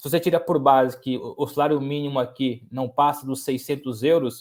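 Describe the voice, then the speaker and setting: This man speaks in a fairly high pitch with flat, monotone intonation. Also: moderate pace. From Brazil, interior of São Paulo state (Lorena). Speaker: sports journalist. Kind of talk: podcast interview. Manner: repeats words and restarts often.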